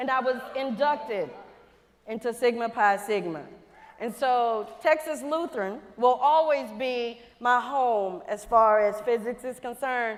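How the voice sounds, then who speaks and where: Here is a woman with a Louisiana accent. Her pitch is high, with ordinary variation. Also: fairly slow pace. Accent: Southern US (Louisiana). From Louisiana, US South. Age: 50s. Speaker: NASA quality engineer, plenary speaker. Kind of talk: conference keynote talk. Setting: stage with audience. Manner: animated.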